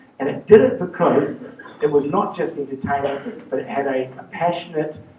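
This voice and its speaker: A voice with a New Zealand accent over noticeable background noise. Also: man, big swings in loudness. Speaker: charity fundraiser. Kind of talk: presentation talk. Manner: fast.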